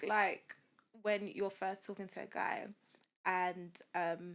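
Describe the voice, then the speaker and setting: A woman speaks in a London accent. She leaves long, frequent pauses. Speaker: software engineer and dating app founder. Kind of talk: podcast interview.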